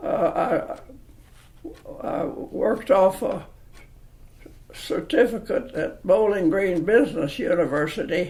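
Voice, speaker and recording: Here a man with a rural Kentucky accent speaks at a very slow pace with long, frequent pauses. His pitch is high and his intonation lively. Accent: Kentucky rural Southern. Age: 80s+. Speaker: interviewee. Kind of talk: oral history interview. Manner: halting.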